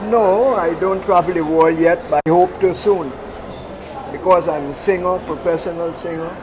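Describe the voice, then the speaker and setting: A man with a Guyanese accent speaks at a moderate pace and high pitch with fairly even intonation. The recording has audible room echo and noticeable background noise. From Guyana, Georgetown. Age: 70s. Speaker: singer and poet. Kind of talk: casual chat. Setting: outdoor market.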